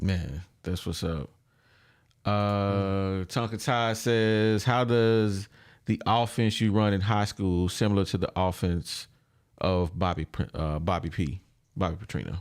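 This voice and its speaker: A man with a fairly low pitch uses an ordinary speaking voice with ordinary pitch variation. He goes at a fairly slow pace in a very clean recording with a silent background. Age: 40s. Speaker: podcast host. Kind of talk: interview. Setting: studio.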